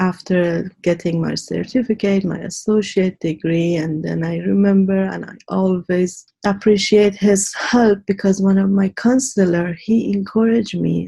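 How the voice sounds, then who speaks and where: Fairly slow speech from a woman with an Iranian accent. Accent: Iranian (Persian) accent in English. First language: Persian. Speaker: immigrant widow, interview guest. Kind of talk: interview, life story.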